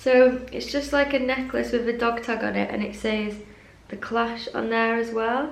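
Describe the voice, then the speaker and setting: A woman with an English accent speaks at fairly high pitch and a moderate pace, in monotone, flat intonation. The room echo is audible and background noise is noticeable. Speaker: fashion YouTuber. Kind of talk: casual unboxing vlog.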